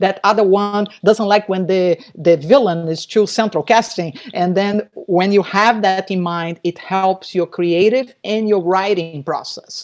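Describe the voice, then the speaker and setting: A woman with a non-native accent speaks at a fairly slow pace and a medium pitch, with fairly even intonation and hardly any pauses. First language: not English. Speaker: novelist. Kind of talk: casual chat. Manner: halting.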